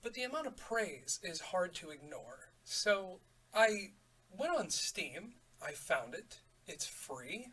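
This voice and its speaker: A man speaks quietly at a very slow pace. His loudness swings widely. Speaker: gaming YouTuber. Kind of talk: let's play commentary.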